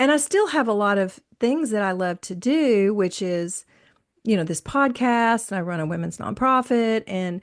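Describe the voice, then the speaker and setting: A woman speaks in a medium pitch at a moderate pace with lively intonation, against a quiet background. She has an ordinary speaking voice. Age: 60s. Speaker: podcast host. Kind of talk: casual chat.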